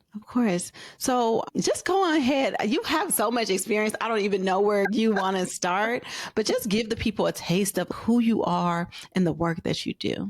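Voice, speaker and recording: A woman speaks in an unremarkable speaking voice at a fairly high pitch. Her pace is moderate, with ordinary pitch variation. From US West Coast (Oakland, California). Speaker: podcast host. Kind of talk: interview.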